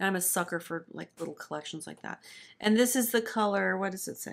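Speaking at a fairly quick pace with an American accent, a woman is heard on a very clean recording with a silent background. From Florida. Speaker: music professor and beauty hobbyist. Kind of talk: casual chat. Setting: filmed in person together.

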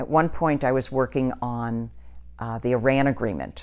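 A woman speaks with an American accent and vocal fry. Her pitch is very deep and low. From New York (Brooklyn, Long Island); New York. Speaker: community organizer and political activist; interviewee. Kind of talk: oral history interview. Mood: earnest, reflective. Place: home room.

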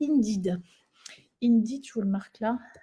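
A woman's fairly high, somewhat breathy voice with a dark, mellow tone, lively intonation and a fairly slow pace against a quiet background. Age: 50s. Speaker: Pilates instructor and trainer; Pilates instructor, trainer. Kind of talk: webinar presentation. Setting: online webinar. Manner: animated. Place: home room. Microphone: webcam.

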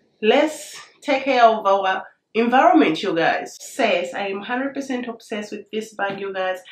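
A woman's fairly high voice with lively intonation and big swings in loudness, at a fairly slow pace, with audible room echo. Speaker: lifestyle YouTuber. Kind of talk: product unboxing and review video. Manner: animated, excitable. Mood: cheerful, enthusiastic. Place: home room.

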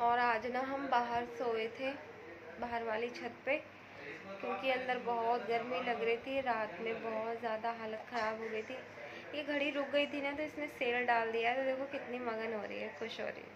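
Noticeable background noise sits under a woman's high voice, which moves at a fairly slow pace with fairly even intonation. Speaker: home vlogger. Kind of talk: casual vlog chat. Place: home room. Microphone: phone near.

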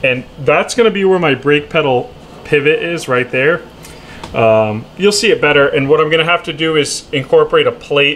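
A man talks at a fairly quick pace with light noise in the background. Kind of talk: tutorial. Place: garage. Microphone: phone near.

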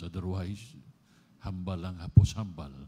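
At a moderate pace, a man speaks with a very deep, low pitch, a dark, mellow tone, some breathiness and ordinary pitch variation. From Philippines. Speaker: pastor. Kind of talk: sermon; sermon, prayer ministry. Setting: church. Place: church. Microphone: handheld.

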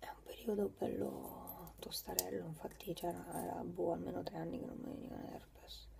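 A woman at a moderate pace with hardly any pauses, over noticeable background noise. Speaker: vlogger. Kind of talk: casual vlog chat. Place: home room. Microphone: phone near.

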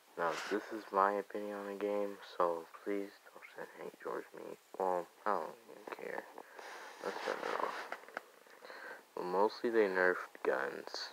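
A soft-spoken man talks at a fairly slow pace, with long, frequent pauses and big swings in loudness. Noticeable background noise sits behind him. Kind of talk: casual gaming commentary. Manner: quiet, soft-spoken; hesitant, stuttering.

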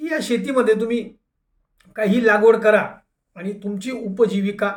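A man speaks in an animated tone with ordinary pitch variation, and audible room echo can be heard. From Dhule, Maharashtra. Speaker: anti-corruption activist and YouTuber. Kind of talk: monologue commentary.

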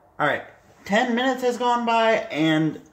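With audible room echo around him, a man talks at a fairly slow pace using lively intonation.

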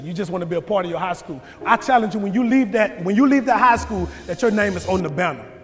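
A man talks at a fairly quick pace, with faint music behind him. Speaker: motivational speaker. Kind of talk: motivational speech. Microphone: lapel.

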